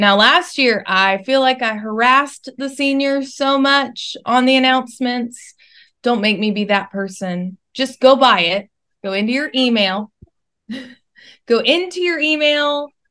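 A woman speaks in a raised, projected voice with a bright, sharp tone and lively intonation. Her pace is fairly slow against a quiet background. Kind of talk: casual announcements to students. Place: home room. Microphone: video call.

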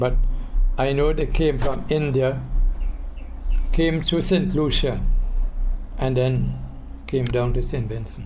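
A man speaks at a very slow pace with long, frequent pauses. Noticeable background noise sits behind him. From Saint Vincent. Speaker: retired teacher. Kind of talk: interview answer. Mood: calm, reminiscing.

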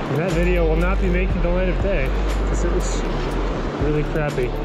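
The talking runs at a fairly quick clip. Background music accompanies it. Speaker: angler vlogger. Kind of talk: casual vlog chat. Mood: self-deprecating, upbeat. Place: waterside. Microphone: phone near.

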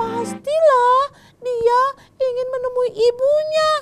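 A woman's extremely high-pitched voice at a very slow pace, with music in the background. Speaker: storyteller host. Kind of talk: storytelling to children. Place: studio.

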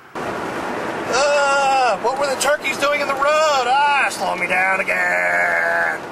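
A man in a put-on character voice speaks at a very slow pace against clear background noise. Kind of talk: casual talk to camera. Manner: exasperated.

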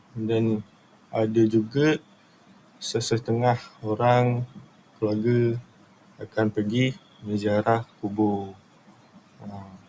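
Here a man speaks at a very slow pace, with long, frequent pauses. His pitch is medium and his intonation monotone and flat. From Batu Pahat, Johor, Malaysia. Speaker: student. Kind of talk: class presentation. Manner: halting, with fillers.

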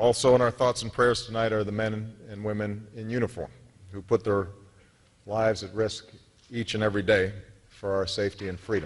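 Fairly low in pitch, a man keeps his intonation fairly even. His pace is fairly quick. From United States. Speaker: politician. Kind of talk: formal public speech. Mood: earnest, measured. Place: hall. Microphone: podium.

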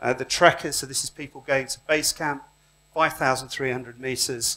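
Bright and sharp in tone, the voice moves at a moderate pace. Its intonation is fairly even. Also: man. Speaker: conference speaker. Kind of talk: lecture. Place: hall.

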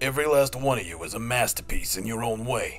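A man speaks with music playing in the background.

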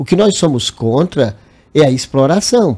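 A man with a fairly high pitch and a dark, mellow tone is speaking. He goes at a fairly slow pace with lively intonation. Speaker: bank workers' union president. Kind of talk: TV interview.

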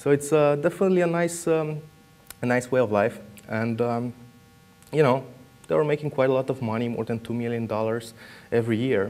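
Speaking in a Romanian accent, a man keeps a medium pitch with ordinary pitch variation at a fairly quick pace. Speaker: security researcher. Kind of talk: conference talk. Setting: stage with audience.

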